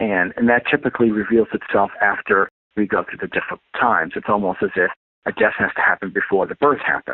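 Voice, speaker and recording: A man in a New York accent at a very fast pace. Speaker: astrologer and life coach. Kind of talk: interview.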